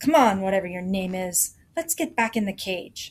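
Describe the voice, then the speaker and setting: A female-sounding, gruff put-on character voice sits at a middle pitch. It moves at a moderate pace. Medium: read story.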